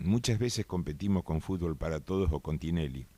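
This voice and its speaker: Very deep, low male pitch carrying a dark, mellow tone. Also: very clean recording, silent background. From Argentina, Concordia, Entre Ríos. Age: 60s. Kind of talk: radio interview.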